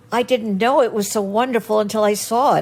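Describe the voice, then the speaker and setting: A woman with a fairly high pitch and ordinary pitch variation speaks at a fairly quick pace against noticeable background noise. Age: 80s+. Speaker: actress. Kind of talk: interview answer, Hollywood memories.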